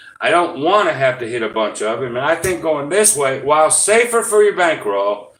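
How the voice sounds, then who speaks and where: A man mumbles with lively intonation. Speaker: gambling YouTuber. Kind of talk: live stream casual explanation. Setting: live stream. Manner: mumbling; hesitant, many fillers.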